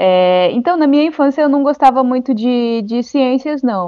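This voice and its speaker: There is music in the background as a woman talks at a moderate pace. Her voice is high, with ordinary pitch variation. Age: 20s. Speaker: amateur astronomer and science communicator. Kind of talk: explainer; casual chat.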